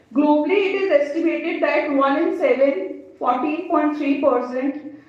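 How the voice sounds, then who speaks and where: Audible room echo surrounds a woman with an Indian accent. She talks at a moderate pace with ordinary pitch variation. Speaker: clinical psychologist. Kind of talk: lecture. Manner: halting.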